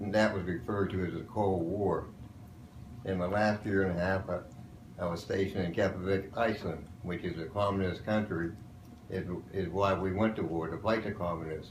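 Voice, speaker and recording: A man with an American accent talks at a fairly quick pace in a very deep, low pitch, his somewhat breathy voice flat and monotone, with audible echo in the room. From western Pennsylvania. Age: 70s. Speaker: war veteran. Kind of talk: interview.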